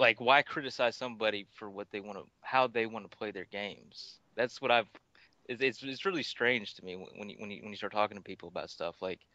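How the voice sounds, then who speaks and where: A man with a Tennessee accent talks at a very fast pace in a fairly low pitch, his tone bright and sharp with ordinary pitch variation. His loudness swings widely, and the sound is dry and close with no echo. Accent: Tennessee twang. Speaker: gaming record holder. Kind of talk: casual chat.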